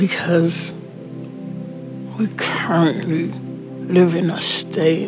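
A man's voice with music in the background. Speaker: spoken word poet, motivational speaker. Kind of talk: spoken word poetry performance. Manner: slow, earnest.

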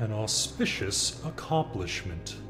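A man puts on a character voice with a very deep, low pitch. He talks fairly slowly over loud music in the background. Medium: machinima. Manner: solemn, commanding.

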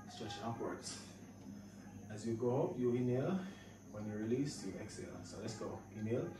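A man speaks at a moderate speed with ordinary pitch variation, his voice carrying audible room echo amid noticeable background noise. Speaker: fitness instructor. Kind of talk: workout instruction. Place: home room. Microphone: camera far.

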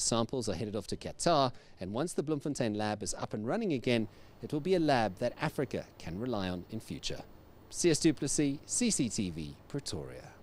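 A man talks with vocal fry. The sound is dry, with no echo. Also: moderate pace. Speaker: TV news reporter. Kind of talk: news piece to camera. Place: stadium. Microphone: handheld.

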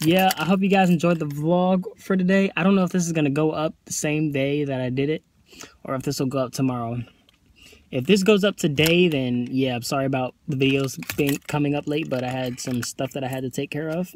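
This man talks at a fairly quick pace with ordinary pitch variation, and the sound is dry with no echo over light background noise. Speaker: vlogger. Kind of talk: casual vlog chat. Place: car. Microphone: phone near.

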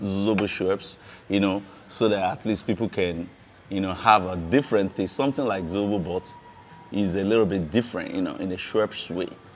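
Over music in the background, a man talks at a fairly quick pace in a fairly low pitch. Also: fairly even intonation. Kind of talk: interview answer. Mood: friendly, relaxed, smiling. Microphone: lapel.

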